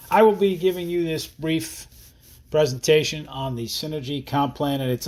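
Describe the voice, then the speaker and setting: In a very clean recording with a silent background, a man with a New Jersey accent talks at a fairly quick pace. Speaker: network marketing distributor. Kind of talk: sales presentation. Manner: casual, conversational.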